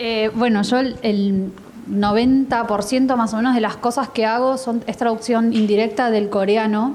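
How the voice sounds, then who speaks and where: Flat, monotone delivery against clearly audible background noise. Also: woman. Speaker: translator and panelist. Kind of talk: panel discussion.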